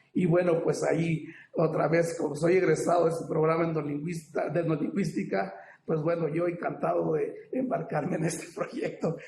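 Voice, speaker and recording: Audible room echo hangs on this recording. A man speaks at a moderate pace. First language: Popoluca (speaking Spanish). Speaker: ethnolinguist academic panelist. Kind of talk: academic panel talk. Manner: halting, many fillers.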